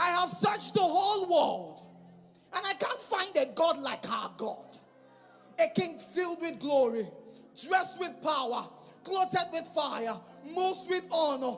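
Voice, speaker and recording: Over noticeable background noise, a man with an extremely high pitch and lively intonation speaks with long, frequent pauses. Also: fairly slow pace. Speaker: spoken word minister / poet performing live at a church event. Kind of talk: spoken word poetry, religious praise. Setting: live church event.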